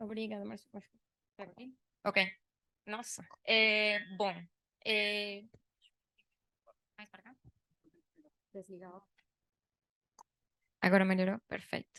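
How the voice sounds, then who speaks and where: A woman with a Spanish accent speaks very slowly in a bright, sharp tone, leaving long, frequent pauses. Her intonation is monotone and flat, with big swings in loudness. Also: medium pitch for a woman. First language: Spanish (speaking Portuguese). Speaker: tax consultant presenting at working group. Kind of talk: business presentation.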